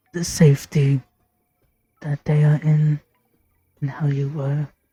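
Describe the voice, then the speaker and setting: A put-on character voice speaks in a monotone with flat intonation, low-to-middle pitch and a fairly slow pace. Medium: game stream. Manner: halting, broken phrasing.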